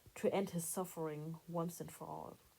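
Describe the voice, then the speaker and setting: A woman's voice with a dark, mellow tone. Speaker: hobby artist and video creator. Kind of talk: voice-over narration of a drawing process.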